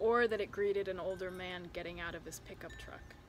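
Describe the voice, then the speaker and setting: A woman talks with an American accent. Her pitch is medium, and her pace is moderate. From Chicago area. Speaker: poet. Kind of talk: poetry reading.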